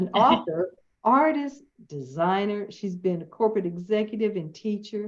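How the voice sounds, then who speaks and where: With a Southern US accent, a woman talks at a moderate pace, her medium pitch carried by lively intonation. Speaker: interview host.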